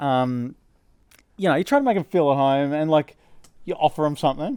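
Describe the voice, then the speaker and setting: A man at a fairly high pitch with an Australian accent and a very fast pace, on a very clean recording with a silent background and dry, close sound with no echo. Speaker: podcast host. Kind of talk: casual chat.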